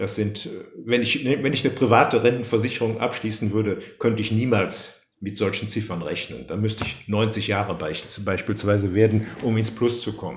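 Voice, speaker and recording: Audible room echo surrounds a man talking at a moderate pace. His voice is fairly low, somewhat breathy, and fairly even in intonation. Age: 60s. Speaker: pension law expert and writer. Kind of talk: expert interview. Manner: halting.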